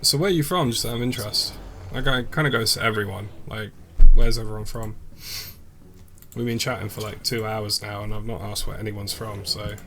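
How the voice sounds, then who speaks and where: A man with a British accent speaks at a fairly quick pace in a fairly low pitch. He leaves long, frequent pauses, and room echo is audible. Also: ordinary pitch variation. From England. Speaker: gaming streamer. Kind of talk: casual chat. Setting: live stream. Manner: casual, filler-heavy.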